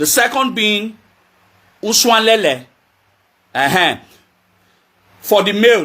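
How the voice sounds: Here a man talks slowly. His pitch is high and his tone bright and sharp.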